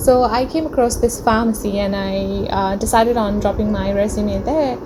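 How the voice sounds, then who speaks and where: A woman at a fairly high pitch and moderate pace, ordinary pitch variation, audible room echo and noticeable background noise. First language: not English (English is her third language). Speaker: vlogger, international student. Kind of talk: casual vlog narration. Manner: hesitant with frequent fillers (um, uh).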